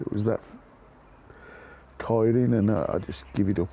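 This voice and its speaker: A man talks with a fairly low pitch and a dark, mellow tone. Vocal fry runs through his voice. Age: 60s. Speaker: builder. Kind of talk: interview answer.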